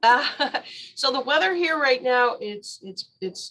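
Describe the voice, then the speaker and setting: Ordinary pitch variation marks this American accent. The pace is moderate. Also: woman. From Chicago area, US Midwest. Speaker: tarot reader. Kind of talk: casual chat.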